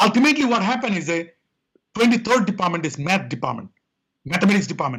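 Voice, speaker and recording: A man speaks with a high pitch and a strong Indian accent, his tone bright and sharp. His voice is raised and projected, with lively intonation. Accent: thick Indian. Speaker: quality consultant and author. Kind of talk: interview.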